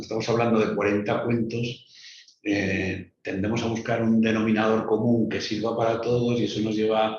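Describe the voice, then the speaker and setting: The man's pitch sits in the medium range. He talks at a moderate pace with monotone, flat intonation. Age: 60s. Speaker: writer. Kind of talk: interview.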